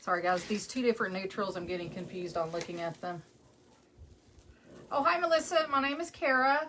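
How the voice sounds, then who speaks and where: A woman in a West Texas accent speaks at medium pitch and a fairly quick pace, her pitch swinging very widely. Long, frequent pauses break up her speech, and background noise is noticeable. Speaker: craft maker. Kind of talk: live craft tutorial. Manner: casual, chatty.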